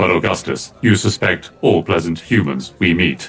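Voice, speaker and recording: Putting on a character voice, a man speaks at a moderate pace. His pitch is very deep and low. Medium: actual play. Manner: precise, formal, literal.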